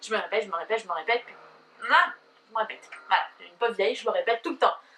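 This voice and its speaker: Talking at a very fast pace, a woman uses lively intonation and a fairly high pitch. Noticeable background noise can be heard. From southern France. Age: 20s. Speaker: YouTuber. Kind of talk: casual vlog talk to camera. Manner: hesitant, many fillers.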